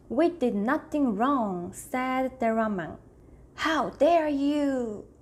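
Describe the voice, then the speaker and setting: Lively intonation at a very slow pace, in a Korean accent. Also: woman. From South Korea. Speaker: YouTuber. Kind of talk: reading aloud. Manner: halting.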